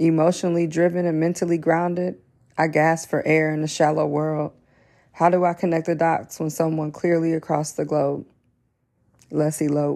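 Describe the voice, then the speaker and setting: A woman's fairly low, dark and mellow voice, playful and confident in tone, monotone and flat, at a moderate pace. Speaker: spoken word poet. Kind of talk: spoken word poetry, a performed love poem. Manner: rhythmic, playful and flirtatious, with rhyme-driven cadence; confident yet vulnerable and earnest.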